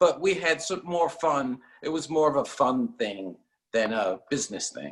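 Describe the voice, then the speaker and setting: A man with an American accent, fairly high-pitched with vocal fry, very wide pitch swings and a moderate pace. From New York (Queens). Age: 60s. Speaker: seashell guitar pick maker. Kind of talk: interview.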